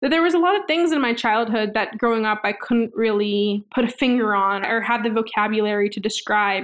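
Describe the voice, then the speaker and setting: A woman with a plain, everyday voice and an American accent speaks at a fairly quick pace with hardly any pauses and very even loudness, her pitch fairly high with ordinary variation, in a very clean recording with a silent background. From Queens, New York. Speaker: community organizer. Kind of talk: interview testimony.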